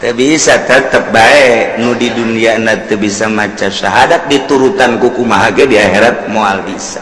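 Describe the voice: A man talks at a moderate pace with few pauses, his pitch fairly low and its variation ordinary. Strong room echo surrounds his voice.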